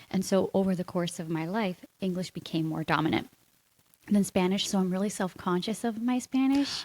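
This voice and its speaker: Speaking in an American accent, a woman with an unremarkable speaking voice keeps a medium pitch, a moderate pace and ordinary pitch variation. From United States. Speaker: marketing agency co-owner. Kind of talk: casual interview chat.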